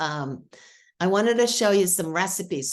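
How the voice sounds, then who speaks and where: A woman's medium-pitched voice with a Boston accent. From Boston, New England. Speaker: marketing expert demonstrating software. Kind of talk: product demo on a video call. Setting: video call. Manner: casual, filler-heavy.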